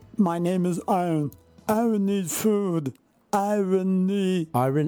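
Over faint music in the background, a put-on character voice at middle pitch moves at a fairly slow pace. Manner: simple, single-syllable, grunting.

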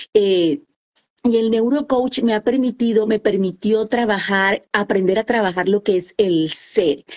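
Her voice fairly high in pitch with ordinary variation, a woman speaks at a fairly slow pace in a dry, close sound with no echo. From Colombia, Caribbean coast (Santa Marta). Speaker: author and women's coach. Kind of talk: interview.

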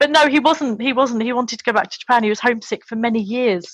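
Recorded with a dry, close sound and no echo, a woman with a London accent speaks at a fairly high pitch with ordinary pitch variation. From London, England. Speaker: former English teacher in Japan. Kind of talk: casual interview.

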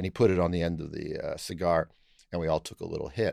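A man with a Canadian accent and an unremarkable speaking voice talks at a fairly quick pace with ordinary pitch variation. The recording is very clean, with a silent background. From Canada, Toronto. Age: 60s. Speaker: retired law professor and constitutional lawyer. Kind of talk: interview conversation.

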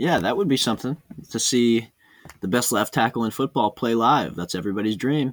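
Speaking fairly quickly with lively intonation, a man has an ordinary speaking voice at a medium pitch. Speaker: podcast co-host, football fan. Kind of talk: casual sports chat podcast.

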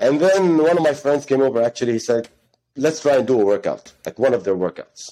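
Fairly quick and lively in intonation, a man speaks at a fairly high pitch with a dark, mellow tone. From Ghana. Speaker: gym coach and co-founder. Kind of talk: casual interview chat. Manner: informal, hesitant with fillers.

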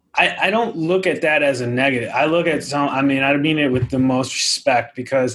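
Over noticeable background noise, a man talks fairly quickly at a fairly high pitch with ordinary pitch variation, very even loudness and hardly any pauses. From New England. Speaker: author. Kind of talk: casual chat.

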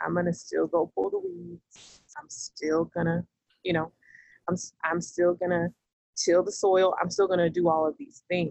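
At a moderate pace, an unremarkable speaking voice with an American accent carries fairly even intonation. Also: woman, fairly low pitch for a woman. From US South, Georgia. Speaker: peacemaking educator and founder. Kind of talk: casual interview.

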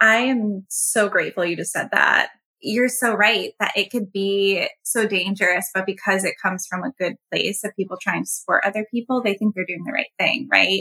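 A woman with an unremarkable speaking voice at medium pitch, ordinary pitch variation, a moderate pace, and hardly any pauses, in a dry, close sound with no echo. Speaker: podcast co-host. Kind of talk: podcast interview.

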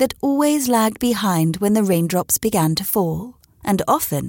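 Lively intonation in a plain read-aloud delivery

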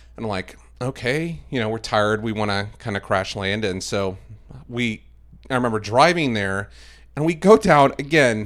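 A man at a moderate pace with lively intonation, in a very clean recording with a silent background. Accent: American. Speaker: video production director. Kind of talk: casual interview chat.

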